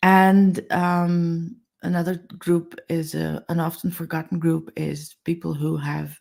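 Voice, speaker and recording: This woman talks with a Dutch accent. She keeps to a fairly slow pace. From Netherlands. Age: 50s. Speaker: accessibility advocate. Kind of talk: webinar interview.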